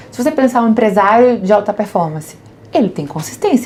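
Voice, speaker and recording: A woman speaks over noticeable background noise. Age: 40s. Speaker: business executive. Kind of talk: podcast interview.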